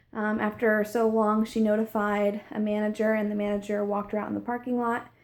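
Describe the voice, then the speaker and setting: Monotone, flat delivery at a fairly quick pace over noticeable background noise. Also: woman. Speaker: direct sales consultant. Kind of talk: sales pitch. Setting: launch party with audience. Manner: hesitant, many fillers.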